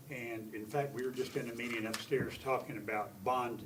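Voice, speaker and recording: A man speaks at a medium pitch with fairly even intonation. Audible room echo and noticeable background noise are present. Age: 80s+. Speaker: utility board member. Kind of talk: council committee testimony. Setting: city council committee meeting. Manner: halting.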